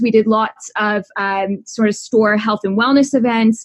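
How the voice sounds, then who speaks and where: Her voice is somewhat breathy, at a medium pitch. The woman speaks in a Canadian accent. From Canada. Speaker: dietitian. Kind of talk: podcast interview.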